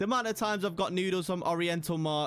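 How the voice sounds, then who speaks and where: Speaking with a British accent, a man's high-pitched voice comes through on a very clean recording with a silent background. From England, Midlands (Nottingham). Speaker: gaming YouTuber. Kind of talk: gameplay commentary.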